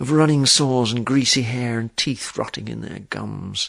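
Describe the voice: Simply plain reading aloud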